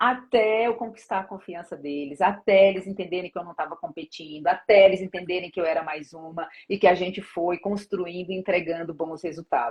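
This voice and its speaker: The voice moves at a fairly quick pace with hardly any pauses, ordinary pitch variation and big swings in loudness. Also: woman, medium pitch for a woman. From Brazilian Northeast. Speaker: corporate HR director. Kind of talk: interview. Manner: fast.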